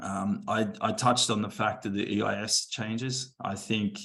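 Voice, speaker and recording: A man's fairly low voice with an Australian accent. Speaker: venture investor. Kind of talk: panel talk. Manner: halting, many fillers.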